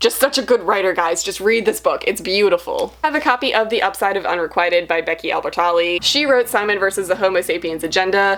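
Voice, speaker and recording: A woman speaks very fast at medium pitch, hardly pausing. Her pitch variation is ordinary. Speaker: booktuber. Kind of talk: casual haul video. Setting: home library.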